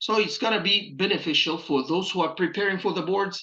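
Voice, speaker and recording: Against a quiet background, a man with an Egyptian accent speaks at a moderate pace. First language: Arabic. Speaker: pathology resident preparing for boards. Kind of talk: channel introduction talk. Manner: hesitant with many filler uhs.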